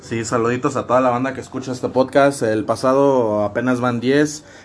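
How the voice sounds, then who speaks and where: Over noticeable background noise, a man talks at a medium pitch with monotone, flat intonation. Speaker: podcast host. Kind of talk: casual chat.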